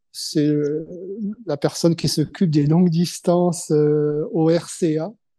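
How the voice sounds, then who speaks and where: Against a quiet background, a man with a high, dark and mellow voice talks at a very slow pace with fairly even intonation. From Normandy, France. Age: 70s. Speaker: retired long-distance cyclist. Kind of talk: podcast interview. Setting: video call. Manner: hesitant, many fillers.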